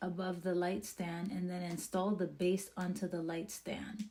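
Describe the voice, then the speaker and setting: Her pitch sits at medium, in a dark, mellow tone that is somewhat breathy. The woman speaks at a very slow pace. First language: not English (English is her third language). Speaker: product reviewer / vlogger. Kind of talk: casual product tutorial; reading instructions aloud. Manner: animated.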